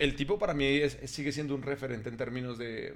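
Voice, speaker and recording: A man at a fairly high pitch, with fairly even intonation and an ordinary speaking voice. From Colombia. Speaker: podcast host. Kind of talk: casual chat.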